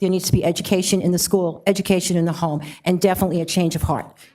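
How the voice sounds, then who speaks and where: A woman's fairly low, dark and mellow voice in a New York accent, monotone and flat at a very fast pace. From New York City. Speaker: social worker. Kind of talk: public comment at council meeting. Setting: city council meeting.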